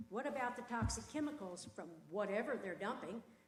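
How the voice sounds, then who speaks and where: Audible room echo surrounds a woman who talks at a moderate pace with a high pitch and lively intonation. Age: 70s. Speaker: resident speaking at public comment. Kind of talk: public comment at county meeting.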